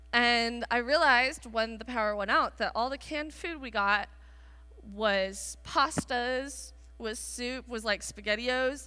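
Speaking at a fairly slow pace, a woman uses a bright, sharp tone at a fairly high pitch with ordinary pitch variation. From Israel. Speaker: pastor. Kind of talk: sermon to students. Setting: church stage with audience. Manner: filler-heavy, self-interrupting.

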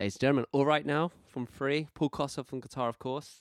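The sound is dry and close, with no echo. A man speaks at a fairly quick pace. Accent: British. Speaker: podcast co-host, guitarist. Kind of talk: casual chat.

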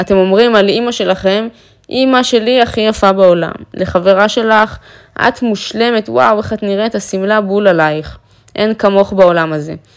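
Animated in tone, a woman talks at medium pitch with ordinary pitch variation. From Israel, Afula. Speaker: confidence coach and influencer. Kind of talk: motivational monologue.

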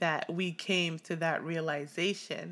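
With a fairly low pitch, a woman speaks in an animated tone. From Canada (Ottawa), born in Tanzania. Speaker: podcast co-host. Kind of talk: casual chat.

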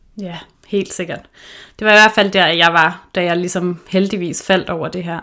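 A woman speaks fairly slowly in a bright, sharp tone, with monotone, flat intonation and big swings in loudness. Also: fairly low pitch for a woman. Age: 30s. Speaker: podcast host, intuitive eating counselor. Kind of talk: casual chat. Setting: remote recording.

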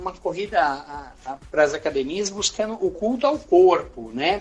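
A man with a Brazilian accent speaks at a fairly slow pace. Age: 50s. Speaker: pilates instructor. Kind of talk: interview. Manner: halting.

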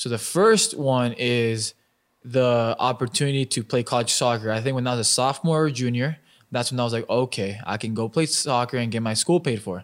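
A man with an ordinary speaking voice and an American accent talks at a fairly quick pace in a medium pitch with ordinary pitch variation, on a very clean recording with a silent background. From Albuquerque, New Mexico, US. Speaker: professional soccer player. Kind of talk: casual chat.

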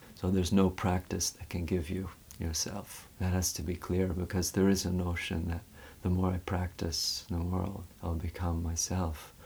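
Speaking at a moderate pace, a man has a very deep, low pitch, a dark, mellow tone, a somewhat breathy quality and monotone, flat intonation. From Canada, West Vancouver. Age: 40s. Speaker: yoga teacher. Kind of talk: casual interview conversation. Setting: studio.

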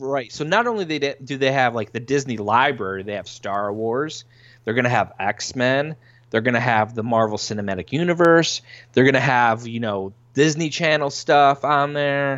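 A man talks in a plain, everyday voice at a medium pitch. His pace is moderate and his pitch varies in an ordinary way. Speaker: podcast host guest. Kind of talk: casual podcast chat.

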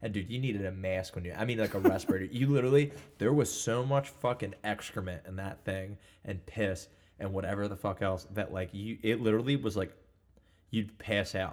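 Here a man talks at a fairly quick pace in a fairly low pitch, with ordinary pitch variation. It is an ordinary speaking voice on a very clean recording with a silent background. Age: 20s. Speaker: construction worker. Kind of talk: casual chat.

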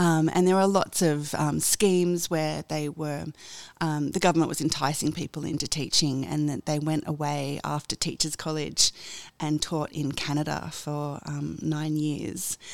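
A woman speaks with an Australian accent in a very deep, low voice. Her intonation is monotone and flat. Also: fairly slow pace. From Australia, Sydney. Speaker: radio executive. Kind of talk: interview. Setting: office.

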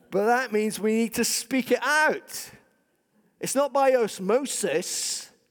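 A man speaks very slowly with a Scottish accent at an extremely high pitch. The recording is very clean with a silent background. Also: ordinary pitch variation. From Scotland. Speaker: pastor. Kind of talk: sermon. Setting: church.

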